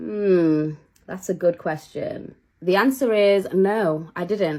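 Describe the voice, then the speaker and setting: Animated in tone, a woman talks with a Manchester accent. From northern England, Manchester. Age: 20s. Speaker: cake maker and content creator. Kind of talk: casual get-ready-with-me chat.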